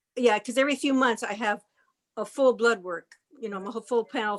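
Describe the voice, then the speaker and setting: A plain, everyday voice at a moderate pace, with fairly even intonation and a dry, close sound free of echo. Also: woman. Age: 60s. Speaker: class participant. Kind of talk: Q&A question.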